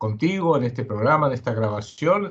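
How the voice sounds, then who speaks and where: A man speaks at a fairly high pitch with lively intonation. His voice is somewhat breathy. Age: 70s. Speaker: geopolitical analyst and writer. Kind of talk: interview.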